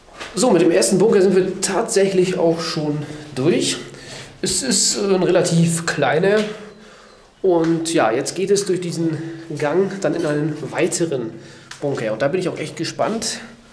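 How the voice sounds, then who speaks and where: A man with a high pitch and ordinary pitch variation is heard through audible room echo and light background noise. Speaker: urban explorer vlogger. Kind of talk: casual vlog commentary. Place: tunnel cave. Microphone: phone near.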